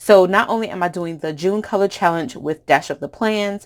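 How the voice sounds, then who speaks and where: A woman with an American accent and a normal speaking voice, fairly low in pitch with ordinary pitch variation, at a moderate pace on a very clean recording with a silent background. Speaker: planner craft youtuber. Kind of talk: craft tutorial. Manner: casual with fillers.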